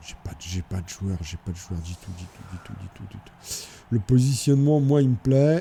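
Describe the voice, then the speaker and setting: A man's dark, mellow, fairly low voice, somewhat breathy, moves at a moderate pace with very wide pitch swings and big swings in loudness. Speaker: gaming video creator. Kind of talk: gameplay commentary. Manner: stammering repetitions.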